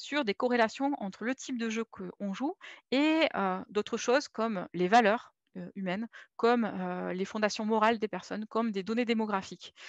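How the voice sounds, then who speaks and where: Against a quiet background, a woman with a fairly high pitch and ordinary pitch variation is heard in a dry, close sound with no echo. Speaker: UX designer for games. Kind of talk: conference talk. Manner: fast.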